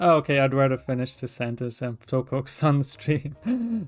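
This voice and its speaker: A Scottish accent with music in the background. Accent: mild Scottish. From Scotland. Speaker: streamer, concept artist. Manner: casual, rambling, many fillers.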